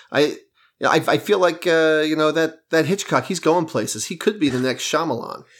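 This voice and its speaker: A man in an ordinary speaking voice, fairly high in pitch and at a moderate pace, on a very clean recording with a silent background. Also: ordinary pitch variation. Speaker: podcast co-host. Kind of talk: casual chat. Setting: studio.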